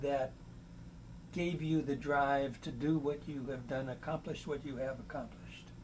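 Somewhat breathy, a man with a fairly high pitch speaks in a monotone, flat intonation over light background noise. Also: moderate pace. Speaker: museum volunteer co-interviewer. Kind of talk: oral history interview. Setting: museum interview room.

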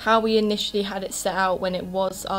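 Faint music plays in the background as a woman speaks in a monotone, flat intonation. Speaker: beauty vlogger. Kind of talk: casual vlog chat. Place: home room. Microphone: camera far.

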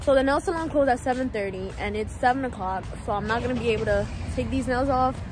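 A woman speaks with an American accent over noticeable background noise. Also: dry sound with no echo. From New York. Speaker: vlogger. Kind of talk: casual vlog talk to camera. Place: street. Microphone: phone near.

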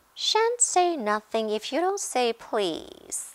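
A female-sounding put-on character voice, high in pitch, cackles at a very slow pace. The delivery is sing-song. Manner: sing-song, taunting, cackling.

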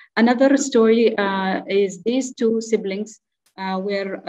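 A woman's fairly high voice in an Arabic accent, with fairly even intonation against a quiet background. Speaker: clinical geneticist; presenter. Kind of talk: conference talk. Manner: halting. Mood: calm, explanatory. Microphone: video call.

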